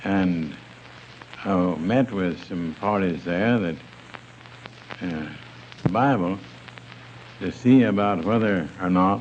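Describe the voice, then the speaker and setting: A man with a very deep, low voice speaks very slowly, with long, frequent pauses and ordinary pitch variation. Noticeable background noise is present. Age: 70s. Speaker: church leader. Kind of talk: interview answer.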